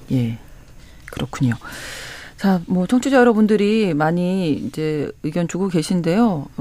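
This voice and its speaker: Fairly slow pace and very wide pitch swings from a woman at fairly low pitch, with noticeable background noise. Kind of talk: radio current affairs talk. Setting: radio studio. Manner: formal.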